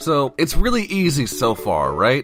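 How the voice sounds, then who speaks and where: The speaker talks at a moderate pace with very wide pitch swings. Music plays in the background. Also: man. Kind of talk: casual game-lore explanation. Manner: rambling, profane.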